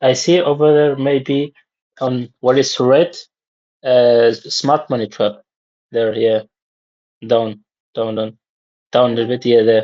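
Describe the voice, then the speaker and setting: Speaking fairly slowly with a non-native accent, a man at medium pitch keeps a fairly even intonation. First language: not English. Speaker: trading student. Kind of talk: casual chat. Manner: halting.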